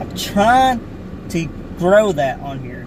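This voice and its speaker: Amid noticeable background noise and audible room echo, a man with an Appalachian accent talks at a fairly slow pace with very wide pitch swings. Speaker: small YouTuber, outdoor explorer. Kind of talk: casual vlog talk. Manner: halting, many fillers.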